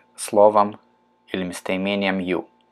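A man talks at a fairly slow pace. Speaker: English teacher. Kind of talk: tutorial. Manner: slow, careful pronunciation drills.

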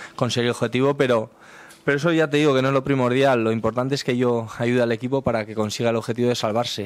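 Here a man is talking. His intonation is fairly even. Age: 30s. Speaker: football player. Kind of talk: press conference. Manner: halting, many repeated words. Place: meeting room. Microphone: podium.

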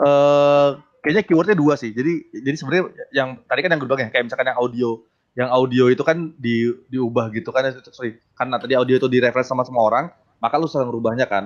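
Over a quiet background, a man talks at a very fast pace with ordinary pitch variation. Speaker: game developer. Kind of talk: tech talk discussion. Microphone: video call.

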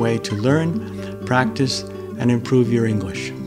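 Clear background music behind a man's moderately paced speech. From Boston, Massachusetts, USA. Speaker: English teacher. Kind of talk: casual talk to camera. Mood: calm, friendly. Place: home room.

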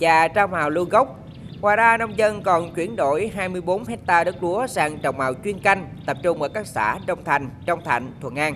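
A woman with a normal speaking voice talks at a fairly slow pace, her fairly low pitch carrying lively intonation. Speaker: voiceover reporter. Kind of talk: news reading.

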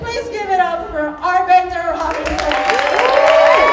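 A woman is speaking in a room with audible echo. Crowd noise fills the background. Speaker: open mic host. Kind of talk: stage introduction. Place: stage. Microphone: handheld.

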